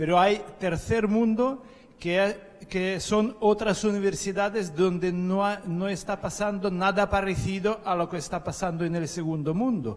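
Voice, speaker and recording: The pace is fairly slow and the intonation fairly even. Noticeable background noise can be heard. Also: man, high pitch for a man. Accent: non-native. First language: not Spanish (speaking Spanish). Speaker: conference attendee. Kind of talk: panel discussion. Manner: halting.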